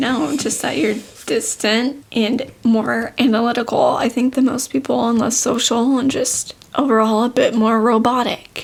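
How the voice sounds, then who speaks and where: A woman speaks quietly at a fairly slow pace in a high voice, her intonation fairly even and her delivery almost free of pauses. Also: very even loudness. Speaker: podcast co-host. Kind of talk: casual chat.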